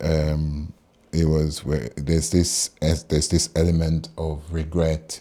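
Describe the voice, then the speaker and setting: Very slow and monotone, a man delivers his words at a very deep, low pitch with a dark, mellow tone and flat intonation. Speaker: amateur poetry reader, former military. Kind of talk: poetry reading with spoken commentary. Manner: gentle, hesitant, slow.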